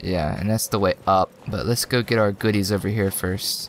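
At a moderate pace, a man speaks in a fairly low pitch. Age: 20s. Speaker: gaming video creator. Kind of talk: let's play gameplay commentary. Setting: home recording with microphone. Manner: animated.

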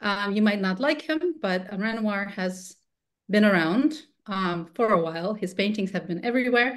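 A woman talks with lively intonation and a fairly slow pace, the background quiet. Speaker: webinar host, lawyer. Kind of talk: lecture. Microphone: video call.

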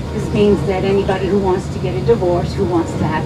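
Loud background noise fills the recording. Through it, a woman talks. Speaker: local tour guide. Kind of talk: tour guide commentary. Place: bus.

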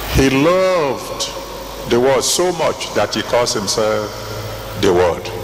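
With very wide pitch swings, a man talks very slowly with long, frequent pauses, amid light background noise and audible room echo. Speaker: preacher, church General Overseer. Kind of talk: sermon preached to a congregation. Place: hall. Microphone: handheld.

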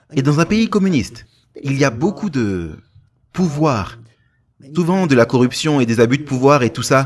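A fairly high-pitched man at a fairly slow pace, with very wide pitch swings and long, frequent pauses. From Romania. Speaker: pastor. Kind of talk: sermon.

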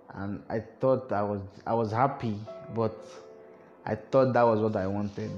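Over music in the background, a man with a fairly low pitch talks at a moderate pace with fairly even intonation and long, frequent pauses. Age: 20s. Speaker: university student. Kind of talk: personal talk to camera.

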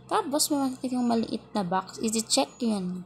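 A woman talks at a moderate pace in a medium pitch. Her pitch swings very widely. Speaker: beginner vlogger. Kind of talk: tutorial.

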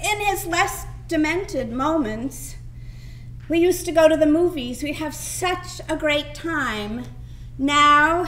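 With light background noise, a woman speaks at a fairly slow pace in a high pitch. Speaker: actor auditioning. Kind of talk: dramatic monologue performance. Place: stage. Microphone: camera far.

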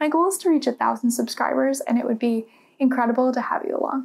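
A woman's high-pitched voice at a very fast pace. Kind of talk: casual vlog chat. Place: home room. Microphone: lapel.

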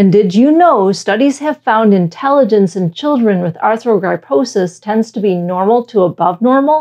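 Against a quiet background, a woman with an American accent talks at a moderate pace with hardly any pauses. Her pitch is fairly high and her intonation lively. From Michigan, US. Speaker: science educator. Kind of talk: scripted narration. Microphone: lapel.

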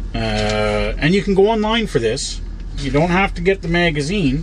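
The pace is moderate. A man talks over light background noise. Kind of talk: casual vlog chat. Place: car. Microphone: phone near.

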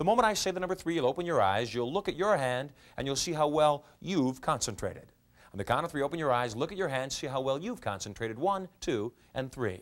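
A man with a normal speaking voice, lively intonation and a fairly quick pace. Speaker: hypnotist. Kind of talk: hypnotic induction, commanding trance suggestions. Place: studio.

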